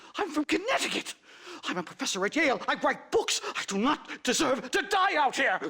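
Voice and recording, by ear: A man's put-on character voice at extremely high pitch, bright and sharp in tone, with big pitch swings, vocal fry and a fairly quick pace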